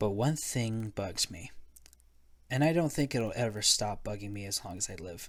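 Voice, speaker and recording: The recording is very clean, with a silent background. A man speaks at a fairly slow pace in a fairly low pitch with fairly even intonation. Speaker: amateur narrator. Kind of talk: horror story narration. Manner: dramatic.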